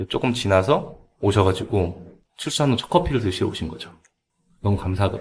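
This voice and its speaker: A man speaks at a fairly quick pace with a fairly low pitch. His voice is somewhat breathy, with ordinary pitch variation. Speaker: cafe owner. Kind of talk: podcast interview answer.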